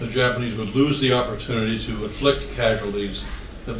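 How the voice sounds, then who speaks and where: A man with an American accent at a medium pitch, fairly even intonation and a moderate pace, with audible room echo and noticeable background noise. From West Virginia. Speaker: author and speaker. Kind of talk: Q&A after a talk. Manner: halting.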